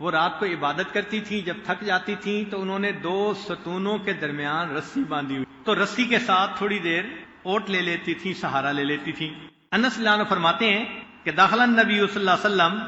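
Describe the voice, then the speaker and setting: A man with a high pitch and ordinary pitch variation talks through noticeable background noise. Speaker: Islamic scholar, Sufi preacher. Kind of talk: religious lecture.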